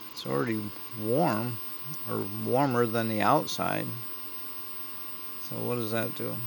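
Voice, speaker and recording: Fairly slow speech with long, frequent pauses comes through audible room echo and noticeable background noise. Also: man. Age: 70s. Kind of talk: casual vlog talk while working on a project. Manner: rambling, thinking aloud.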